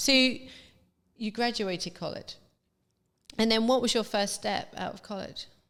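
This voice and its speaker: A woman's fairly high, fairly slow voice in a southern English accent, fairly even in intonation but with big swings in loudness, on a very clean recording with a silent background. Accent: southern English, somewhat polished. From southern England. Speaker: podcast host. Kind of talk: interview.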